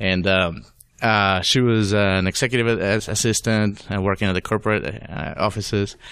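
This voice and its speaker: A man with a slight Venezuelan accent speaks at a moderate pace in a fairly low voice, his intonation fairly even against a quiet background. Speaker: data science and BI consultant. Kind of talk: interview. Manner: halting.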